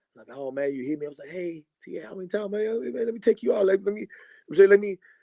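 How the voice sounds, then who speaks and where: A man's dark, mellow voice moves at a very fast pace in a dry, close sound with no echo. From Greece. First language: Greek. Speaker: basketball player. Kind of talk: casual chat. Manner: animated.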